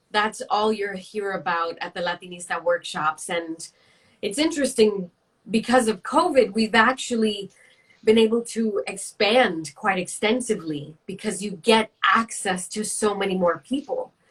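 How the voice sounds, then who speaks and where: This speaker has an American accent and a somewhat breathy voice. The pace is moderate, with ordinary pitch variation. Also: woman, medium pitch for a woman. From New York City. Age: 30s. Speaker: career coach and network founder. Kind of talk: interview.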